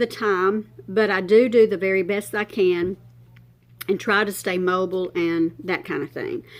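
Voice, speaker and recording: The speaker is a woman with a plain, everyday voice. She talks at a moderate pace with a medium pitch. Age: 60s. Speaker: beauty vlogger. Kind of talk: makeup tutorial chat. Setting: at her makeup table, filming herself.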